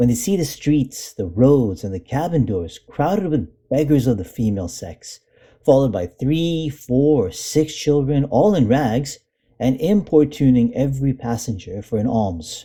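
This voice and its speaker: Somewhat breathy and dark, mellow in tone, a man speaks at a moderate pace and medium pitch with very wide pitch swings. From India. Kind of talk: classic essay reading.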